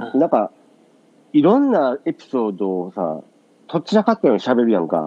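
A man with a Kansai accent speaks with very wide pitch swings. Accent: Kansai dialect Japanese. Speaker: podcast co-host. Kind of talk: casual chat. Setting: remote call from Japan, morning.

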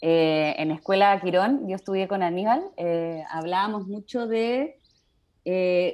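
Speaking very slowly in a Chilean accent, a woman uses a medium pitch and lively intonation. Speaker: podcast host, astrology writer. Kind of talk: interview conversation.

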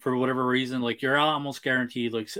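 A man with a Newfoundland accent speaks at a medium pitch. His intonation stays fairly even. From Newfoundland, Canada. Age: 30s. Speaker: toy collector and YouTube reviewer. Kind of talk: casual chat.

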